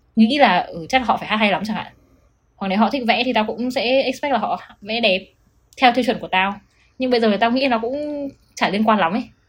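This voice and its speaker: Speaking at a very fast pace, a woman uses a fairly high pitch with ordinary variation. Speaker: podcast co-host. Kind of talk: casual chat.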